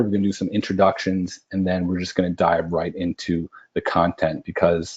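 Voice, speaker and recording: With an American accent, a man speaks at a fairly quick pace in a very deep, low voice. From US Midwest, near Chicago. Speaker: webinar presenter. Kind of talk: webinar presentation. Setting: online webinar. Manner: fast; animated.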